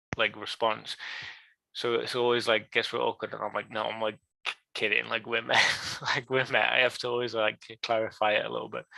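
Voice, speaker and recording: A man with an English accent talks at a fairly quick pace against a quiet background, the sound dry and close with no echo. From England. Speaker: card gaming business guest. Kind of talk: casual chat. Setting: live stream.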